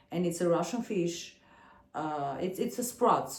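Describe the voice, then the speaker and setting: Audible room echo and noticeable background noise accompany a woman speaking at a fairly low pitch. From Armenia. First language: Armenian. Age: 40s. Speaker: singer and video blogger. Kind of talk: casual vlog talk. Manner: halting.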